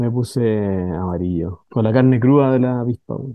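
A man speaks at a moderate pace and medium pitch, with ordinary pitch variation.

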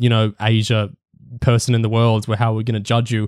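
In dry, close sound on a very clean recording with a silent background, a man with an Australian accent talks at a fairly quick pace, his medium-pitched voice flat and monotone. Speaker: podcast host. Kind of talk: casual panel discussion.

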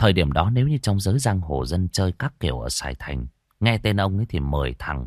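Quiet background, an unforced reading voice.

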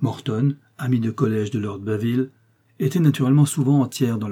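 The text is read aloud plainly, and the pitch rises and falls in an ordinary way.

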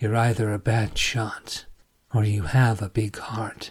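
Using a put-on character voice, a man speaks raspily at a fairly slow pace, his medium pitch held in a monotone, flat intonation.

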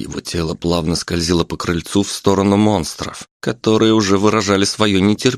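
The speaker reads aloud plainly. It is plain reading aloud throughout.

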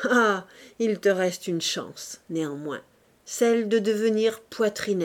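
Natural reading-aloud voice with ordinary pitch variation

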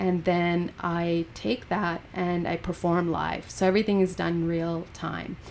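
A woman speaks fairly slowly at a fairly low pitch, with hardly any pauses. Her intonation is fairly even. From Canada, British Columbia (Golden). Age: 40s. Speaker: poet. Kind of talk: casual chat. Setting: studio.

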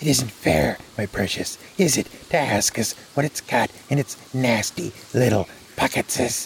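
A put-on character voice comes across as whiny and hissing at a moderate pace. Light background noise sits behind it. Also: man, medium pitch for a man. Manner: hissing, whining.

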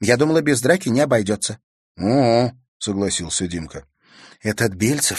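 Natural-voiced reading aloud plays over a quiet background.

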